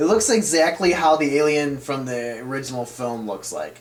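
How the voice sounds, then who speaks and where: A man speaks at a fairly slow pace in a fairly high pitch, with noticeable background noise behind him. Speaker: video game reviewer. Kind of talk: game review voice-over.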